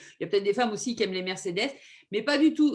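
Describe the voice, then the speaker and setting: A woman speaks with a high pitch. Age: 50s. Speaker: nurse and holistic medicine practitioner. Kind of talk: informal talk on health. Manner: hesitant, many fillers.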